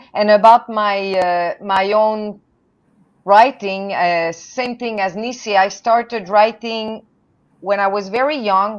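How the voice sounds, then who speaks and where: A woman speaks with a French Canadian accent. Her pace is very slow. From Canada, French-speaking. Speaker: poet and translator. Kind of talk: panel discussion.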